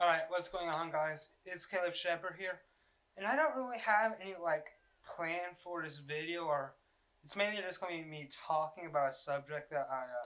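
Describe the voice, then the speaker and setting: The tone is bright and sharp. The words come out as mumbling. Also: man, high pitch for a man, ordinary pitch variation, moderate pace. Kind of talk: casual unscripted vlog talk.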